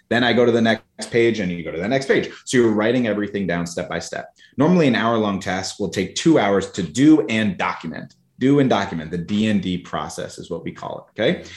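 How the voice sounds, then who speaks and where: At a fairly quick pace and with hardly any pauses, a man with a fairly low voice speaks with lively intonation. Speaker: marketing agency CEO and coach. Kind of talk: casual podcast interview. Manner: fast talker.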